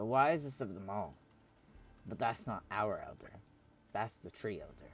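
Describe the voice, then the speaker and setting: Using a put-on character voice, a man speaks at a moderate pace and medium pitch. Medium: actual play. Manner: terse.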